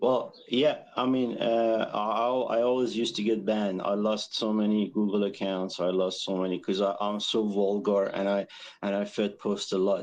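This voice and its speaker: A man speaks in a fairly low pitch with fairly even intonation, very even loudness and hardly any pauses. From Iran. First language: Persian. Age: 40s. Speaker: caller. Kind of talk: call-in question on livestream. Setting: outdoors on balcony. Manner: slow, halting.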